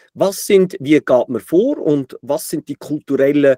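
A man's fairly high voice with a dark, mellow tone, lively intonation and a dry, close sound with no echo. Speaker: podcast host. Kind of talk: interview.

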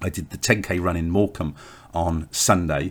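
A man speaks with an English accent. His pitch is very deep and low. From England. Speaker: author and podcast host. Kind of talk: solo podcast diary. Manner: hesitant, with filler words.

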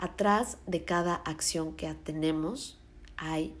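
This is a woman's voice. She speaks in a Mexico City accent. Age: 20s. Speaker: podcast host. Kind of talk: solo podcast monologue.

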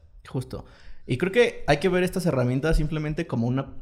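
Talking at a fairly quick pace, a man of medium pitch has an unremarkable speaking voice. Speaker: podcast host. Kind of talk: casual chat.

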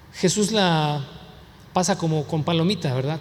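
A man speaks at a high pitch with ordinary pitch variation, and audible room echo surrounds his voice. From US, Mexican heritage. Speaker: pastor. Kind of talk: sermon.

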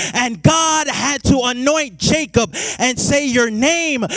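Over noticeable background noise, a man with an extremely high pitch speaks at a fairly slow pace in an animated tone. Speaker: preacher. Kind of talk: sermon. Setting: church with congregation. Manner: animated, call-and-response preaching with rising fervor.

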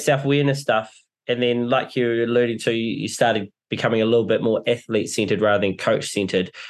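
Speaking in a New Zealand accent, a man keeps a medium pitch and a very even loudness. His pace is fairly quick, with hardly any pauses. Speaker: podcast host. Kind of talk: casual interview.

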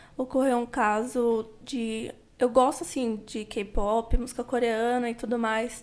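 On a very clean recording with a silent background, a woman with a high pitch speaks at a very slow pace. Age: 20s. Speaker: classical singer, podcast guest. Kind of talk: casual interview about mental health.

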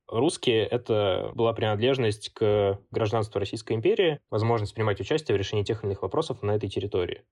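A man talks at a medium pitch, somewhat breathy. The background stays quiet. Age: 20s. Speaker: student community founder and author. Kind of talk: interview.

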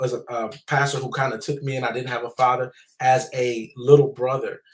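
A somewhat breathy voice at a moderate pace, with monotone, flat intonation. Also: man. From US South. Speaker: trauma nonprofit founder and author. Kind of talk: testimony.

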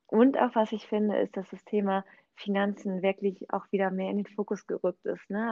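The voice keeps a monotone, flat intonation at a moderate pace. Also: woman. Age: 30s. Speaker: real estate agent and network marketer. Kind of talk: casual chat.

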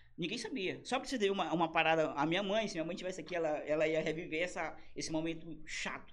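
A man talks very fast with lively intonation. Room echo is audible. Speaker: comedian. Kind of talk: casual chat. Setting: studio. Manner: animated.

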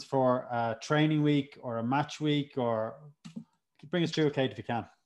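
At a medium pitch and moderate pace, a man talks in a normal speaking voice with fairly even intonation. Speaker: podcast host. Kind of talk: casual interview.

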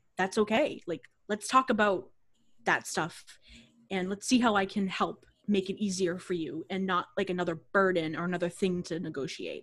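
With an American accent, this is an ordinary speaking voice at a moderate pace with ordinary pitch variation. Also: woman, medium pitch for a woman. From Boston area, Massachusetts. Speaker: yoga teacher, studio founder. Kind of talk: casual interview chat.

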